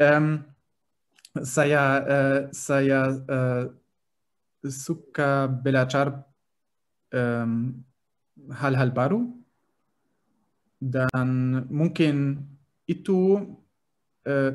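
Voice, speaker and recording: With a German accent, the speaker talks very slowly, with fairly even intonation and long, frequent pauses. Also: man, fairly high pitch for a man. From Germany. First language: German (speaking Indonesian). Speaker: language learner. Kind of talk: interview. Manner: halting, many fillers.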